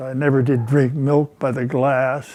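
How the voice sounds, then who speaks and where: This man's voice sits at a medium pitch, with a dark, mellow tone and an American accent. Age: 90s. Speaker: retired heart surgeon. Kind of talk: interview testimony. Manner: halting, with many fillers; calm.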